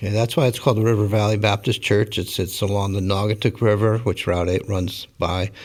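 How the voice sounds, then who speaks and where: His fairly even intonation and fairly low pitch give this man an unremarkable speaking voice. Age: 60s. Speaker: pastor. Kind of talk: interview.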